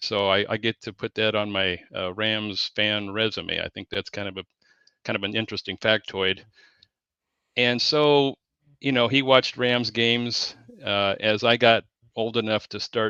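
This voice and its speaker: A man's fairly low-pitched voice with a Pacific Northwest accent, bright and sharp in tone, with fairly even intonation at a moderate pace, in a dry, close sound with no echo. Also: quiet background. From Southeast Washington, US. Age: 60s. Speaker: sports fan guest. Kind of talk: casual interview chat. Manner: halting, many fillers and repeats.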